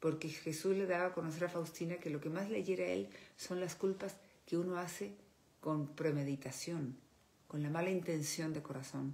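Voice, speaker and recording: A woman with a fairly low pitch, a moderate pace and ordinary pitch variation. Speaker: speaker. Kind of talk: religious reflection talk. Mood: earnest, devotional. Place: home room. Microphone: phone near.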